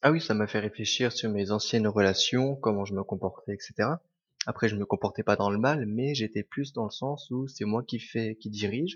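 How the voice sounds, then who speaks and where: A man speaks in an ordinary speaking voice at a medium pitch. His pace is fairly quick, with fairly even intonation. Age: 20s. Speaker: restaurant manager. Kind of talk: testimony.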